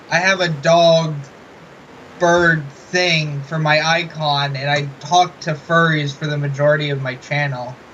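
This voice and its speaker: A man's fairly high, bright, sharp voice, mumbling at a fairly slow pace in a monotone, flat intonation. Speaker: interviewer. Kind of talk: interview.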